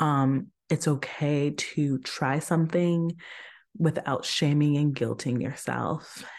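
The speech moves at a very slow pace with fairly even intonation and very even loudness. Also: woman, very deep, low pitch for a woman, quiet background. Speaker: podcast host. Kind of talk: solo monologue on spirituality and anti-racism. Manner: halting, self-correcting.

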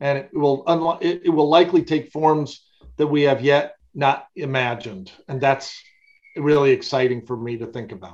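This is a man with a normal speaking voice, pitched fairly high and speaking at a moderate pace. His pitch varies in an ordinary way while his loudness swings widely. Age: 60s. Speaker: theologian and university president. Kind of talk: interview.

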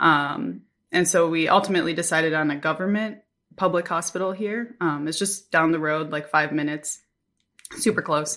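Over a very clean recording with a silent background, a woman with an American accent talks at a moderate pace, with a fairly low pitch, ordinary pitch variation and a bright, sharp tone. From US Midwest, Minnesota. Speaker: missionary, new mother. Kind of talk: casual interview, birth story.

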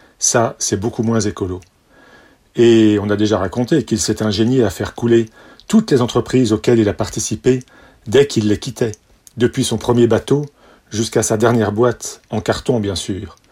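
A man talks in a playful, deadpan tone that is dark, mellow and somewhat breathy. He leaves long, frequent pauses. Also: medium pitch for a man, fairly even intonation, moderate pace. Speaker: son giving toast. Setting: party with audience. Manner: playful, deadpan-mocking, wry, with mock-lyrical flourishes and timed pauses for laughs.

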